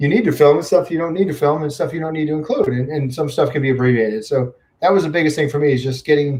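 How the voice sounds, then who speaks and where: A man's fairly high, somewhat breathy voice at a very fast pace, with ordinary pitch variation and hardly any pauses. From upstate New York. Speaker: YouTube vlogger. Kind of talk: livestream chat with viewers. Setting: home livestream on computer. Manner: casual, filler-heavy.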